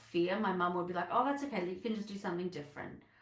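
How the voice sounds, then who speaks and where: A medium-pitched woman's voice in an Australian accent, with ordinary pitch variation and audible room echo. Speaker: business coach. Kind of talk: live online masterclass talk. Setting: livestream.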